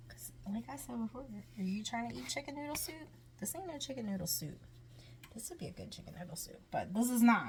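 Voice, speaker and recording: A woman talks at a fairly quick pace in an animated tone, her loudness swinging widely. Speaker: home cooking vlogger. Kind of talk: cooking tutorial. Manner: whispering briefly.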